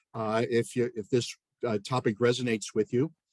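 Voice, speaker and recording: A man with an American accent is heard in a dry, close sound with no echo. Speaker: professor. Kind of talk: lecture. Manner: fast.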